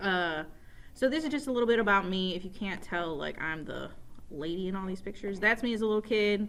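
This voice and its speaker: A woman with an upstate New York accent talks at a very fast pace and a medium pitch. Her intonation is lively, and there is audible room echo. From upstate New York, Rochester. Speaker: teacher. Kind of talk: casual self-introduction to students. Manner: casual, with many fillers.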